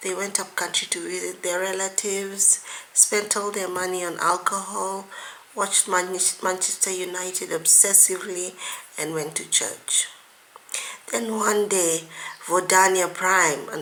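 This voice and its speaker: Over noticeable background noise, a woman of medium pitch speaks at a fairly slow pace with monotone, flat intonation. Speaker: author. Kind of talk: reading aloud.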